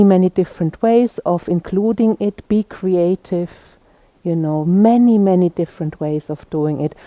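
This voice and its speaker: A woman's medium-pitched, warm voice at a moderate pace, with ordinary pitch variation and a dry, close sound with no echo. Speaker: retreat teacher. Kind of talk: retreat announcements and instruction. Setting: retreat hall with a group. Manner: halting, warm, repeating words.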